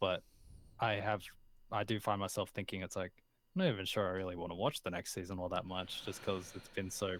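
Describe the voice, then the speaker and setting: On a very clean recording with a silent background, a man talks in a very deep, low pitch, monotone and flat, with long, frequent pauses. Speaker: podcast co-host. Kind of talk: casual chat. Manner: loud.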